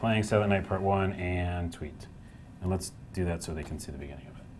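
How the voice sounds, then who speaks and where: Over noticeable background noise, a man with a very deep, low voice talks at a fairly quick pace, his loudness swinging widely. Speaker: game studio staffer hosting a live stream. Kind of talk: casual chat. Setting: office live stream. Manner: animated.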